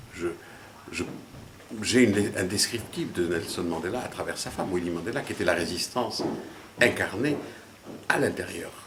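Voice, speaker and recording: A man at a fairly slow pace with ordinary pitch variation, plus audible room echo and noticeable background noise. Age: 60s. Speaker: businessman. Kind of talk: interview. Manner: halting, many hesitations.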